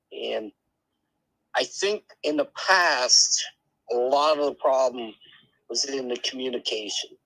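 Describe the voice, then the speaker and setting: A man speaks at a fairly slow pace. His speech has long, frequent pauses. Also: dry, close sound with no echo. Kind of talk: live podcast discussion.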